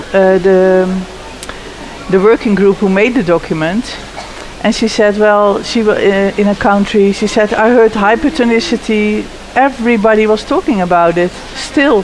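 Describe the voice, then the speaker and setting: Over noticeable background noise, a woman with a Dutch accent speaks at a moderate pace and medium pitch, keeping her loudness very even and her pitch variation ordinary. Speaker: pelvic health physiotherapist and researcher. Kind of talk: panel interview. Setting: conference live lounge. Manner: halting, with frequent fillers and restarts.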